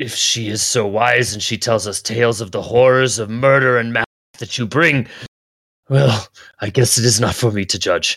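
A man's raspy put-on character voice at a medium pitch and moderate pace. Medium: actual play. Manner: hesitant, earnest.

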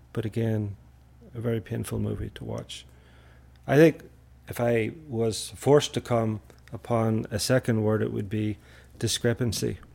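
A man at medium pitch with a dark, mellow tone and fairly even intonation, at a moderate pace with long, frequent pauses. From Northern Ireland, Belfast. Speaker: university staff, trip organizer. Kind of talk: casual chat.

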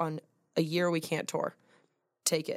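Moderate-paced speech in a very clean recording with a silent background. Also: woman. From Atlanta, US South. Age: 20s. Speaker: country singer. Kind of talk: casual chat. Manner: animated.

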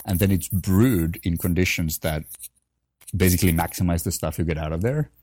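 Speaking with a Finnish accent, a man has a dark, mellow tone and a very deep, low pitch. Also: ordinary pitch variation, fairly quick pace. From Finland, Helsinki. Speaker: coffee company founder and former barista champion. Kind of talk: casual interview.

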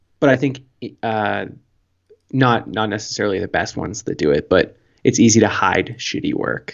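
A man with a Canadian accent and a fairly low voice, vocal fry and long, frequent pauses. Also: ordinary pitch variation, moderate pace. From Canada. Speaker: podcast co-host. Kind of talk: casual chat, comedic. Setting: remote call from a different time zone.

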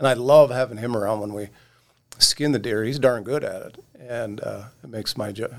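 A man with an American accent talks in a plain, everyday voice at medium pitch. His pace is moderate, his intonation fairly even, and his loudness swings a lot. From Oregon. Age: 60s. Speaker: magazine editor. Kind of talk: casual chat.

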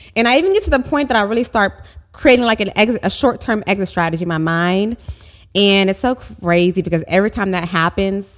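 Talking at a very fast pace, a woman with an American accent uses lively intonation. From Oklahoma, US (Tulsa). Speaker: publicist and agency owner. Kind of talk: interview.

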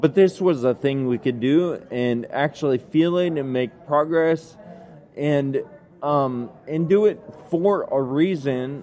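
A man's very slow speech with ordinary pitch variation, over noticeable background noise. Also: fairly high pitch for a man. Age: 30s. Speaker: ataxia advocate and cycling event founder. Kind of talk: interview.

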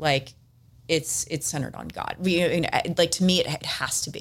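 A woman speaks in an American accent with fairly even intonation. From Southern California, San Diego. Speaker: business executive. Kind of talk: casual interview.

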